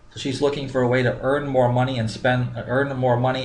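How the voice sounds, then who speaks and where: With an American accent, a man speaks somewhat breathily at a medium pitch. His pace is fairly quick, and audible room echo can be heard. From Minnesota. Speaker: business coach. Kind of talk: tutorial.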